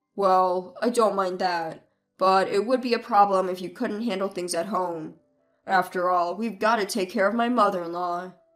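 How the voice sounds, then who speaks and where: Music plays in the background as a woman uses a put-on character voice. Her pitch is medium and her intonation fairly even. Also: moderate pace. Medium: read story. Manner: blunt, hot-tempered.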